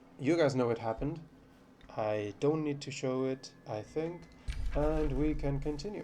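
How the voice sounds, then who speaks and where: With music in the background, a man with a fairly high pitch speaks at a fairly slow pace and lively intonation. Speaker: gaming YouTuber. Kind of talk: let's play commentary. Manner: calm.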